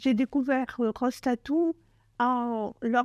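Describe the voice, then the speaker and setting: A woman with a dark, mellow tone speaks at a very slow pace. The sound is dry and close with no echo, against a quiet background. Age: 70s. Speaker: cancer survivor. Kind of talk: testimony. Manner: halting, many hesitations.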